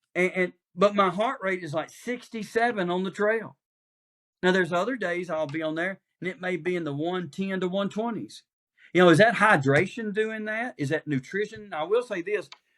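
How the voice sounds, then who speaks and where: With a Southern US accent, a man speaks at a high pitch and a moderate pace, using ordinary pitch variation and long, frequent pauses. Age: 60s. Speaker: pastor. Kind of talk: casual chat.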